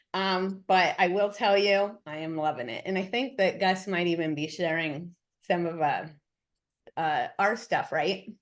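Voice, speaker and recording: The woman's voice sits at a medium pitch with ordinary pitch variation. She speaks at a fairly slow pace over a quiet background. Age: 50s. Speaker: real estate team leader and trainer. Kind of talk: webinar introduction. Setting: video call. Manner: animated.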